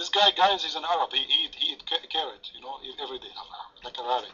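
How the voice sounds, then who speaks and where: A man with a French accent talks at a very fast pace, broken by long, frequent pauses. His loudness swings a lot. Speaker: paltalk room moderator and debater. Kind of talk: heated debate. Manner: mocking, animated.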